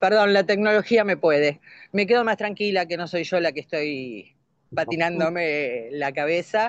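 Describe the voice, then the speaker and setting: Against a quiet background, a woman with an unremarkable speaking voice talks at a fairly slow pace, her fairly low pitch carried by lively intonation. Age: 60s. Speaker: course participant. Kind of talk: class discussion.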